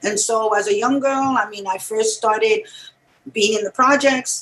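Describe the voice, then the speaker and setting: Speaking at a moderate pace, a woman uses a New York accent. Her fairly high pitch shows ordinary pitch variation. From New York City, Puerto Rican family. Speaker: music writer and musician. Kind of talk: interview.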